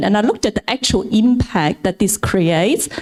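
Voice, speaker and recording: A woman talks at a moderate pace with ordinary pitch variation. Her tone is dark and mellow. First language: not English. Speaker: venture capital partner. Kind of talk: panel talk at event. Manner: halting, repeats words.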